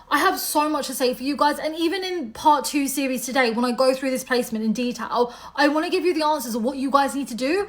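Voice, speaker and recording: Over noticeable background noise, a woman with a British accent talks at a very fast pace with hardly any pauses, her high pitch showing ordinary variation. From UK. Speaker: astrologer. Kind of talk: monologue to camera. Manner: casual, conversational.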